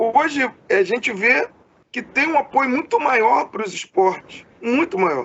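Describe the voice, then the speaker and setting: A man's extremely high pitch, lively intonation and fairly slow pace. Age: 30s. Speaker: podcast interviewer. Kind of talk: interview. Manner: halting, many fillers.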